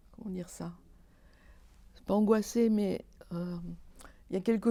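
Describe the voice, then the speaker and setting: A woman speaks at a moderate pace with a medium pitch and a dark, mellow tone. Her intonation stays monotone and flat. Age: 60s. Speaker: theatre lighting designer and director. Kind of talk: interview. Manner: halting, many hesitations.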